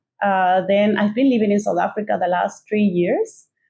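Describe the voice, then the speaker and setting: A woman speaks with a Mexican accent. Her pitch sits in the medium range. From northern Mexico. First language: Spanish. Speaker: podcast co-host. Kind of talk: casual conversation. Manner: halting, many fillers.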